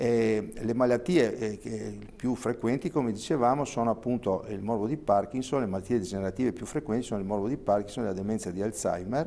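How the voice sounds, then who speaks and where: At a fairly quick pace a man talks, and his pitch moves in an ordinary way. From Trentino, northern Italy. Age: 60s. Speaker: neurologist; guest. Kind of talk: TV interview. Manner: hesitant. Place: studio. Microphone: lapel.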